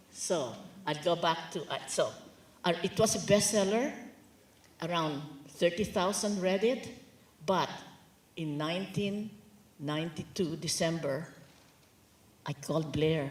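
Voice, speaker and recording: With a Filipino accent, the speaker moves at a fairly slow pace with long, frequent pauses and ordinary pitch variation, in a room with audible echo. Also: woman, fairly low pitch for a woman. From Philippines. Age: 80s+. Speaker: author and lawyer. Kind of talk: onstage book talk interview. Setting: stage with audience.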